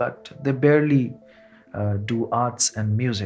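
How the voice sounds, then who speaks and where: With music in the background, the speaker uses fairly even intonation in a Bengali accent. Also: man. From India. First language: Bangla. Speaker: singer-songwriter and storyteller. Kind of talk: narrated personal story.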